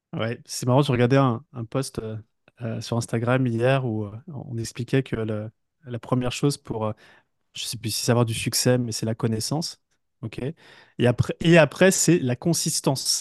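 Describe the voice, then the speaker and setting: This man's medium pitch rises and falls with ordinary variation as he talks at a fairly slow pace. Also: big swings in loudness, quiet background. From western France, village between Brittany and Paris. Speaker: entrepreneur and business coach. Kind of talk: interview. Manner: halting, many hesitations and repetitions.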